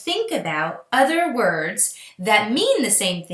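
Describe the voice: The passage is read aloud. The reading is plain.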